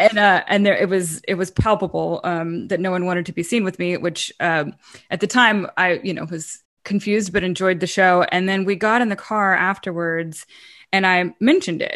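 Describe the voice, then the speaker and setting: With an American accent and an ordinary speaking voice, a woman of medium pitch talks at a moderate pace with fairly even intonation against a quiet background. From US South. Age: 40s. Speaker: musician and advocate. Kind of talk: casual chat.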